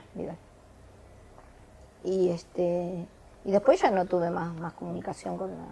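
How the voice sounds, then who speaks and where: A woman at a fairly slow pace, with long, frequent pauses and big swings in loudness. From Argentina. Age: 60s. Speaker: retiree.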